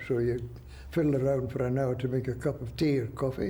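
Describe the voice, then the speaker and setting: At a moderate pace, a man speaks in a medium pitch with a dark, mellow tone that is somewhat breathy. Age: 80s+. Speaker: war veteran. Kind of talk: interview answer.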